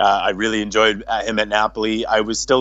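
This is a man with a fairly low pitch. He talks at a moderate pace. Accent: Boston. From Boston, Massachusetts. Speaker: football social media commentator. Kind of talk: casual chat. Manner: assertive, confident.

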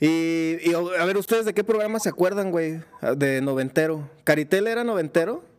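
A man speaks at a high pitch with a Mexican accent. Noticeable background noise runs under his voice. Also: ordinary pitch variation, moderate pace. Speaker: podcast host. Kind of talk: casual chat. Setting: live video stream. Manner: animated.

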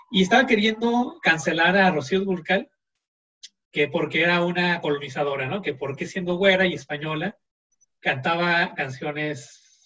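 Using lively intonation at a fairly slow pace, a man speaks with a high pitch and a bright, sharp tone. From Mexico. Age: 20s. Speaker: podcast guest, cultural commentator. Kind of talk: casual interview chat. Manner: halting, many repeated words.

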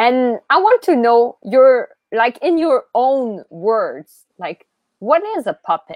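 In a Quebec accent, a woman speaks at a very slow pace with a high pitch and very wide pitch swings, the sound dry and close with no echo. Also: quiet background. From Quebec, Montreal. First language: French. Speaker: podcast host. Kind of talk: interview. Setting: video call.

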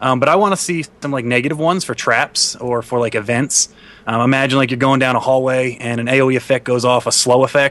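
A man in an ordinary speaking voice, fairly quick with hardly any pauses, medium pitch and fairly even intonation. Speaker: Minecraft youtuber guest. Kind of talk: casual chat.

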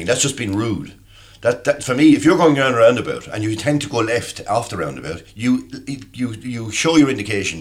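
A man with an Irish accent, at a fairly quick pace with lively intonation. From Ireland. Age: 50s. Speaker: podcast panelist. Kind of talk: casual chat.

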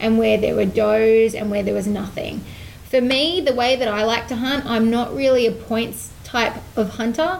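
With an Australian accent, a woman speaks at a moderate pace in a fairly high voice with ordinary pitch variation. Audible room echo surrounds her. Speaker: hunting and fishing TV presenter. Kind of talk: casual chat interview.

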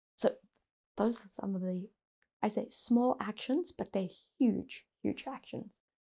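Soft-spoken and somewhat breathy, a woman with a South African accent talks at a fairly high pitch in a dark, mellow tone. Her pace is fairly slow, with long, frequent pauses. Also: lively intonation. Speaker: company executive. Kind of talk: interview.

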